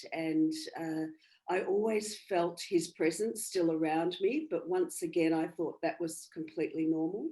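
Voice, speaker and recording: With an Australian accent, a woman talks at a fairly slow pace in a fairly low pitch, her dark, mellow tone carried on fairly even intonation. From Australia, country Victoria. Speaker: bereaved mother and medium. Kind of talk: interview. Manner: halting.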